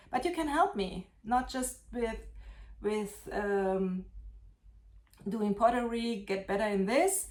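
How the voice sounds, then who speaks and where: Fairly high in pitch, a woman talks at a fairly slow pace with lively intonation. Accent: German. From Germany. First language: German. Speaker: potter. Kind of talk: casual vlog show-and-tell. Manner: halting.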